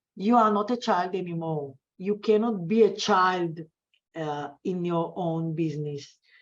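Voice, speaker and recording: A woman at a fairly low pitch and a fairly slow pace, with ordinary pitch variation against a quiet background. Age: 60s. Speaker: business coach. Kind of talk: interview. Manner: halting.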